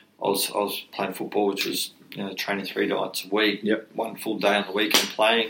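Fairly quick, flat, monotone speech from a man with a fairly low pitch, against noticeable background noise. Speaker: mental health charity co-founder, former rugby league player. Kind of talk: podcast interview.

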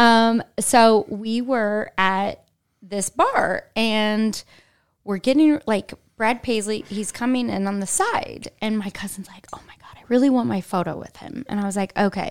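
Speaking with a Midwestern American accent, a woman uses a fairly high pitch with ordinary pitch variation at a fairly slow pace. Her loudness swings widely. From Indianapolis, Indiana. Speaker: marketing executive and former commercial actress. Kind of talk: casual interview chat.

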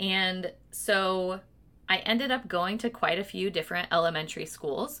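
On a very clean recording with a silent background, a woman with an American accent speaks at medium pitch in a bright, sharp tone, with ordinary pitch variation and a moderate pace. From US Pacific Northwest (Washington). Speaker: pastor. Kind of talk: sermon.

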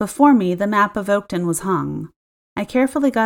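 Over a quiet background, the speaker reads in an unforced voice.

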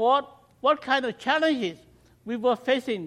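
A man with a Cambodian accent, at a fairly slow pace. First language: Khmer. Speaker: missionary. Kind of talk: mission talk to congregation. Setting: church.

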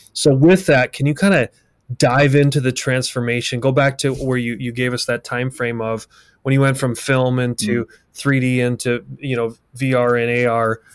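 At a moderate pace, a man with a plain, everyday voice and medium pitch keeps his intonation fairly even, the sound dry and close with no echo. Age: 50s. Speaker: podcast host, construction company CEO. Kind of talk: interview conversation. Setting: video call.

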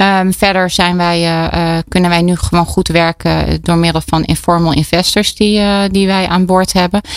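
A woman's fairly low voice at a moderate pace, with very even loudness. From Brabant, Netherlands. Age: 40s. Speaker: entrepreneur, co-founder. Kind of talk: radio interview. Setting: studio. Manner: energetic; halting, many fillers.

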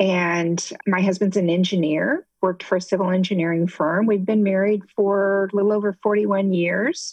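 In an ordinary speaking voice, a woman with an American accent talks at a fairly slow pace, with a medium pitch and fairly even intonation. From US Midwest, Ohio. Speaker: retired nurse and patient advocate. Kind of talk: testimony.

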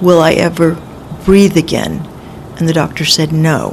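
The speaker talks at a fairly slow pace with an American accent. The intonation is flat and monotone, and there is noticeable background noise. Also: woman. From Los Angeles, California. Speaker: author and former caregiver. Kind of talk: interview storytelling. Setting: medical center studio.

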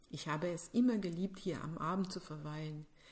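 With a French accent, a woman speaks at a moderate pace and a medium pitch. Her voice is somewhat breathy, with ordinary pitch variation. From Quebec City, Canada. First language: French (speaking German). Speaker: podcast host. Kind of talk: scripted narration.

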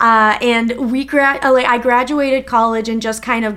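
A woman with an Upper Midwest accent speaks at a moderate pace. Her pitch is high. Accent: Upper Midwest American. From Minnesota. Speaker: podcast co-host. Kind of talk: casual chat.

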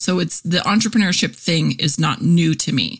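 A woman's fairly low, somewhat breathy voice with lively intonation. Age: 40s. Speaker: podcast host and copywriter. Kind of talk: casual monologue. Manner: animated.

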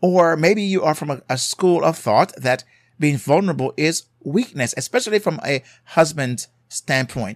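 Lively in intonation and fairly high in pitch, a man with a Jamaican accent speaks at a moderate pace in a very clean recording with a silent background and a dry, close sound with no echo. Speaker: marriage therapist and podcast host. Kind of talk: solo podcast episode on marriage advice. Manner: emphatic, repeats for emphasis.

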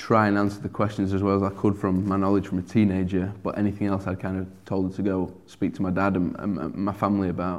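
A man with a Sheffield accent talks at a very fast pace in a fairly low voice. His intonation is monotone and flat. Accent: broad English (Sheffield). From Sheffield, northern England. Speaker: churchgoer sharing conversion story. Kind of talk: testimony. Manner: hesitant, many fillers.

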